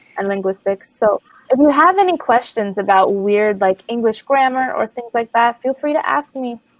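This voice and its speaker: In a normal speaking voice, a woman with a fairly high pitch talks at a moderate pace with lively intonation, the sound dry and close with no echo. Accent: American. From US. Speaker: online English tutor. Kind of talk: casual chat.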